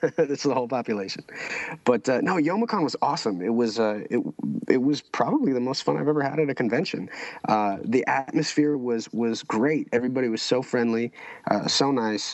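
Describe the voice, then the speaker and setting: A man talks at a fairly quick pace with ordinary pitch variation, with noticeable background noise behind him. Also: medium pitch for a man. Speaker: convention special guest. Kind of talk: casual chat. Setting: podcast recording. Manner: halting.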